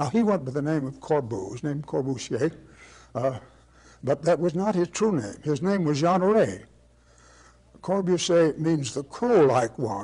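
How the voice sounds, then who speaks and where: Against a quiet background, a man with a somewhat breathy, dark, mellow tone and a fairly high pitch speaks at a fairly slow pace, with very wide pitch swings and long, frequent pauses. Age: 80s+. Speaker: architect and teacher. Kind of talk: lecture. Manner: storytelling, hesitant.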